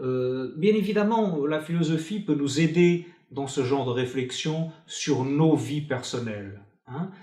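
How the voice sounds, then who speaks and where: A dark, mellow voice with a Portuguese accent speaks at a very slow pace, somewhat breathy and with lively intonation. Audible room echo surrounds it. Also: man, fairly high pitch for a man. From Portugal. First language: Portuguese (speaking French). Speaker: philosopher. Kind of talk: interview. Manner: hesitant, many fillers.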